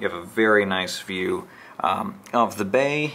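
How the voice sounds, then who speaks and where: A man speaks over light background noise. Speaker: travel vlogger. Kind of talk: casual room tour narration. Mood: light, joking. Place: home room. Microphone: phone near.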